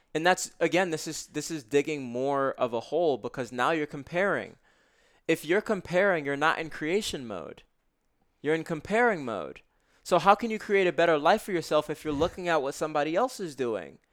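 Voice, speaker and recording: With an American accent and a plain, everyday voice, a man speaks fairly quickly at a fairly high pitch with lively intonation, recorded very cleanly against a silent background. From US Northeast (Brooklyn, New York). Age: 20s. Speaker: self-development author and meditation teacher. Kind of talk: casual interview.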